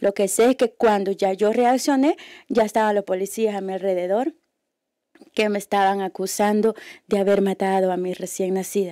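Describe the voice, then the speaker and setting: Against a quiet background, a woman speaks in a dark, mellow tone with fairly even intonation. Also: dry sound with no echo. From El Salvador. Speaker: activist and former prisoner; guest. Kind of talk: testimony. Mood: serious, emotional recollection. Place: hall. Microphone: podium.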